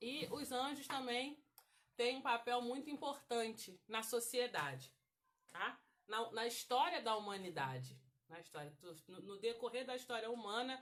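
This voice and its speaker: A woman speaks at a fairly slow pace in a fairly high pitch, with vocal fry. Her intonation is lively and her loudness swings a lot. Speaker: women's Bible study teacher. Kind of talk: Bible study lesson. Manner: halting.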